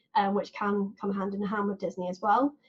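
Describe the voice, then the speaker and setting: A woman speaks at a fairly quick pace with a southern English accent. Her fairly high-pitched voice is somewhat breathy. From southern England. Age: 20s. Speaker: podcast host. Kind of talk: casual chat.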